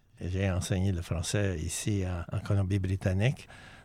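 On a very clean recording with a silent background, a man speaks in a fairly low, monotone voice with flat intonation. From Maillardville, British Columbia. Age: 80s+. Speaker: retired teacher and community founder. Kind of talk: self-introduction.

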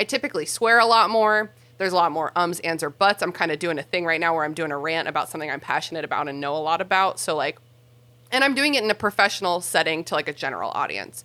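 Very fast and animated, the voice has a bright, sharp tone, lively intonation and an American accent. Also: woman, fairly low pitch for a woman. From US South. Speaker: podcast host and linguist. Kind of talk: casual chat, explanatory.

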